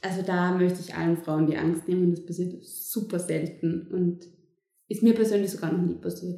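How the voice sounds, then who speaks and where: With vocal fry and a dark, mellow tone, a woman speaks at a fairly low pitch and moderate pace in monotone, flat intonation, with audible room echo. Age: 20s. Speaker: midwife. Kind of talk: interview.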